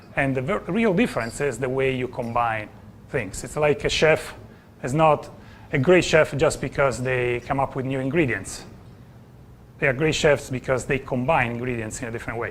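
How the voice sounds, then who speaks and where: A man with an Italian accent, medium pitch, ordinary pitch variation and a moderate pace. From Italy. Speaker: business coach. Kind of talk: conference presentation. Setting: stage with audience.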